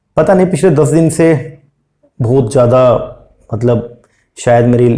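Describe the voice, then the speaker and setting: A man's somewhat breathy voice. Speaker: UGC NET commerce teacher. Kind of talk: exam revision lecture; casual video intro. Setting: hospital room.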